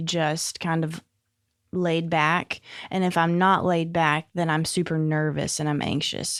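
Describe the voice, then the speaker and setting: A woman with a Southern US accent, fairly low pitch and monotone, flat intonation at a very slow pace, on a very clean recording with a silent background. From Northeast Arkansas. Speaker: addiction support home director. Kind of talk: interview answer.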